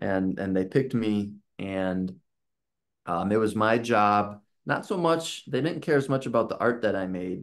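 A man's fairly low voice at a fairly slow pace, with ordinary pitch variation, against a quiet background. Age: 30s. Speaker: illustrator. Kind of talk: casual chat. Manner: talkative. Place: home room.

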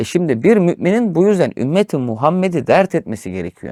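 Recorded very cleanly with a silent background and a dry, close sound with no echo, the speech runs at a fairly quick pace with very wide pitch swings. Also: man. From rural Turkey. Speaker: religious teacher. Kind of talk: religious discussion of Quran commentary.

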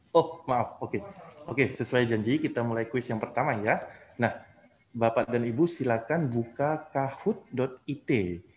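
At a moderate pace, a man speaks with ordinary pitch variation over light background noise. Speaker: event emcee. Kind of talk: event hosting. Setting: video call. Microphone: webcam.

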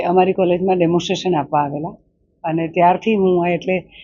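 A woman's normal speaking voice at a medium pitch. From south Gujarat, India (Killa Pardi). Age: 50s. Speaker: painter and sculptor. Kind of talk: interview. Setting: art exhibition hall.

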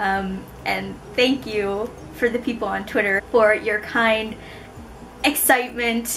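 A woman at a very slow pace with fairly even intonation, over light background noise. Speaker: book vlogger. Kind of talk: casual vlog chat. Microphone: camera far.

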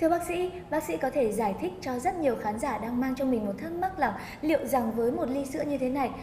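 Very fast and lively in intonation, a woman talks at a high pitch. Light background noise and audible room echo are present. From Vietnam. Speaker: TV presenter. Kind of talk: scripted presentation. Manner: formal. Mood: polite, friendly. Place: studio.

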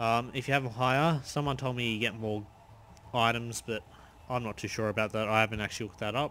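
A bright, sharp voice rushes along at a very fast pace in an Australian accent. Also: man, medium pitch for a man. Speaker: gaming YouTuber. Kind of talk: gameplay commentary. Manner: casual, animated.

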